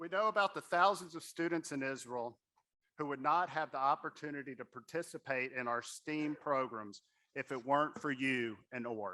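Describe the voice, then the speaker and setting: A man's bright, sharp voice with a Southern US accent at a moderate pace. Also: fairly high pitch for a man, ordinary pitch variation, very clean recording, silent background. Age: young. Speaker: board member and fundraising speaker. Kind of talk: fundraising appeal at a gala. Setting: stage at a gala with audience.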